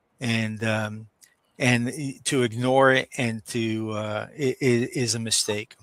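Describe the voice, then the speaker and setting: A man with an American accent talks at a very slow pace and a medium pitch. His intonation is monotone and flat, in a dry, close sound with no echo. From New York, Brooklyn. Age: 60s. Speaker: business owner. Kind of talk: interview. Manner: halting, many fillers.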